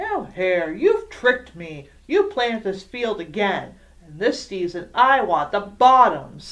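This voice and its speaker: Using a put-on character voice at a medium pitch, a woman speaks at a fairly slow pace with hardly any pauses. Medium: read story. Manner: slow, grumbling.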